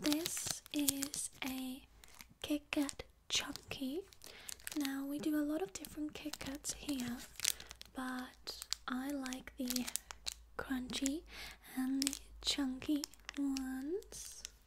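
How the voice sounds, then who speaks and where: Very slow speech from a woman, full of long, frequent pauses, amid noticeable background noise. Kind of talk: soft role-play shop chat.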